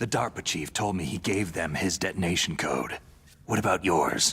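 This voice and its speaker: A man's put-on character voice, very deep and low in pitch, at a moderate pace with ordinary pitch variation. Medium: video game. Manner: terse, gruff.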